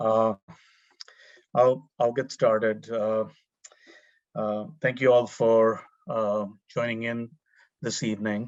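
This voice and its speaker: Speaking with an Indian accent, a man at medium pitch moves at a very slow pace with fairly even intonation and long, frequent pauses. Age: 50s. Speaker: urban planning professor. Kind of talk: panel presentation. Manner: halting, many fillers.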